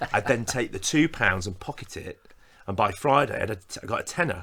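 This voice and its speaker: A man's bright, sharp tone at a very fast pace, in a very clean recording with a silent background. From West Yorkshire, England (Normanton, near Wakefield). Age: 40s. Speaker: vicar. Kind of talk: casual chat.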